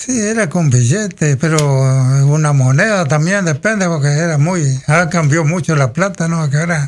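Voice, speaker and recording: At a moderate pace and very even loudness, this is a plain, everyday voice. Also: man, fairly high pitch for a man, ordinary pitch variation. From Federación, Entre Ríos, Argentina; Entre Ríos, Argentina. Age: 60s. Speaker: local resident sharing life memories; radio interview guest. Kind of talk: radio interview, reminiscing. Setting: radio studio. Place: studio. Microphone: studio mic.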